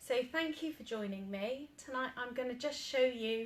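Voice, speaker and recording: Her pace is moderate. The woman's pitch variation is ordinary. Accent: British. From Britain. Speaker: paint retailer demonstrating furniture painting. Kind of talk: tutorial.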